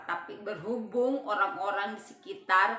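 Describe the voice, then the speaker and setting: Someone with a Papuan accent speaks at a fairly slow pace, with audible room echo and noticeable background noise. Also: woman. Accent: Papuan Indonesian dialect. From Papua, Indonesia. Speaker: vlogger. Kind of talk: personal storytelling vlog. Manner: casual, with frequent hesitations.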